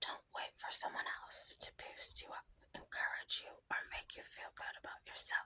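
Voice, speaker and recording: Someone is whispering in a soothing tone. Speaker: ASMR creator. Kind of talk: whispered book reading for sleep. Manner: whispered, soft, soothing.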